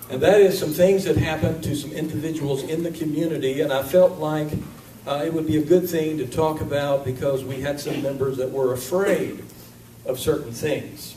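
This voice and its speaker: Talking at a moderate pace, a man with a fairly high pitch keeps his intonation fairly even, amid noticeable background noise and audible room echo. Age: 50s. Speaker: minister. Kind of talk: sermon. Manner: casual, conversational.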